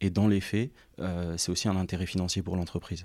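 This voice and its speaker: A man speaks at a moderate pace in a very deep, low pitch, his tone dark and mellow and his intonation flat and monotone, on a very clean recording with a silent background. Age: 20s. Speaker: sports agency founder. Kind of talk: interview.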